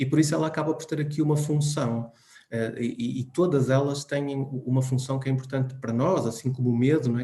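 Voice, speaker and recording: A man's somewhat breathy voice at medium pitch, fairly quick in pace, with fairly even intonation. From Portugal. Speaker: psychologist speaker. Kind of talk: talk. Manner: hesitant.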